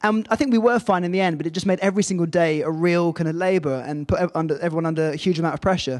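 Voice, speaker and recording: A man with an English accent talks at a very fast pace. His pitch is high and his intonation fairly even. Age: young. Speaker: film director. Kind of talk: panel discussion. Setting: stage with audience.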